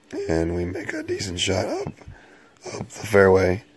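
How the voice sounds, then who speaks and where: There is a male speaker. Background noise is clearly noticeable behind him. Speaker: mobile game video creator. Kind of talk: gameplay commentary.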